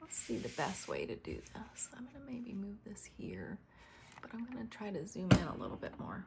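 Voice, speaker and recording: Vocal fry from a woman speaking at a fairly slow pace. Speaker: craft video host. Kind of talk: tutorial. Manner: casual, with fillers.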